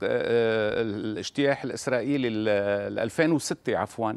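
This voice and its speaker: His pace is very slow. The man's pitch moves with ordinary variation. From Lebanon. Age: 60s. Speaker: visual artist; interviewee. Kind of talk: remote interview. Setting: remote link from Beirut. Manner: halting. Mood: emotional, bitter about crises. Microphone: lapel.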